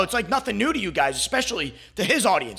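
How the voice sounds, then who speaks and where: Raised and projected, a man's voice with a bright, sharp tone rushes along at a very fast pace. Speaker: commentary YouTuber. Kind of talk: casual commentary monologue. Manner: halting, stuttering.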